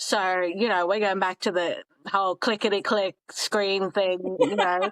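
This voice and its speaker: A woman with an Australian accent, medium pitch, monotone flat intonation, very even loudness and a fairly slow pace, in a dry, close sound with no echo. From Australia (Townsville, North Queensland), raised partly abroad. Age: 30s. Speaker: podcast guest, traveler in fashion. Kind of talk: casual interview chat.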